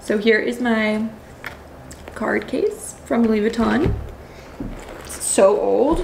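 A woman's voice comes through noticeable background noise. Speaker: lifestyle vlogger. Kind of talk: casual vlog talk to camera. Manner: animated. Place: home room. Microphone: phone near.

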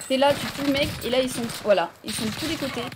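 Noticeable background noise sits behind this recording. A woman speaks in a high pitch. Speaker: video game streamer. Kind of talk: live gaming stream with chat. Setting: online voice chat with teammates. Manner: animated.

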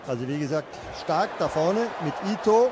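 A man speaks very slowly, with noticeable noise in the background. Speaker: football commentator. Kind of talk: live football commentary, German, describing chances and goals as they happen.

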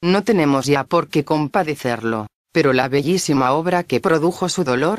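The speaker uses a solemn tone at a moderate pace. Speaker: audiobook narrator. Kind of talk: scripted narration introducing a poem recording, solemn and eulogizing. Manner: formal, solemn, measured.

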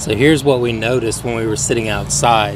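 A man is heard over loud background noise, the sound dry with no echo. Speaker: RV traveler vlogger. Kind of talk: casual vlog chat. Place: open country. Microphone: phone near.

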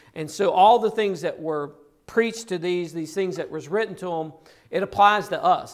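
A man with a high voice speaks at a moderate pace, his pitch varying in an ordinary way against a quiet background. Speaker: preacher. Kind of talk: sermon. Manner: earnest, pressing delivery with repeated emphatic phrases. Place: church.

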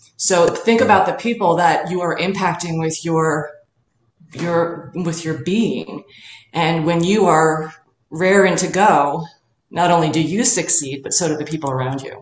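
Heard with audible room echo, a woman speaks fairly slowly at a fairly low pitch with ordinary pitch variation. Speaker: fitness or wellness coach. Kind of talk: interview answer. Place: home room. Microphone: webcam.

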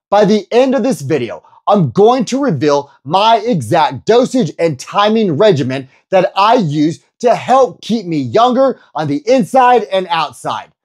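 Against a quiet background, a man speaks at a fairly slow pace. His pitch swings very widely. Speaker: personal trainer. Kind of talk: energetic youtube explainer. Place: home room. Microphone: lapel.

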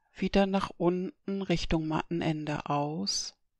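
On a very clean recording with a silent background, a woman speaks at a very slow pace in a dry, close sound with no echo. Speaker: eutony teacher and therapist. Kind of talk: guided relaxation exercise. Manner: slow, calm.

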